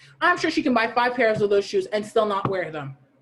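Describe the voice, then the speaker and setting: A woman's voice in an animated tone. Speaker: podcast co-host. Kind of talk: casual chat. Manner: loud.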